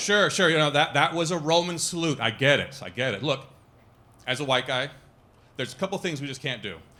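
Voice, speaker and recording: With audible room echo around him, a man speaks in a fairly high pitch with a bright, sharp tone. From Italy, moved to US young. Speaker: stand-up comedian. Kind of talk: stand-up. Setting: stage with audience.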